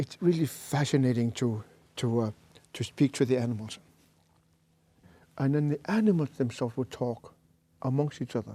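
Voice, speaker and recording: A man with a dark, mellow tone talks at medium pitch and a moderate pace, with ordinary pitch variation and long, frequent pauses, in a dry, close sound with no echo. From Greenland. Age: 60s. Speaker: shaman. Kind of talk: interview conversation. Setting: studio. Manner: halting.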